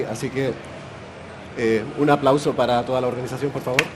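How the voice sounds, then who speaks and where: A man at a medium pitch and a fairly quick pace, with audible room echo and noticeable background noise. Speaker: podcast host. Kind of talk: live podcast recording. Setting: stage with live audience at a festival.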